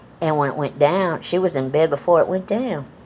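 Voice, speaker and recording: This woman, in an American accent, has a very deep, low pitch and a moderate pace. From Connecticut, New England, to Southern parents. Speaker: vlogger. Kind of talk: casual monologue vlog. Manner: relaxed, with many fillers and repetitions.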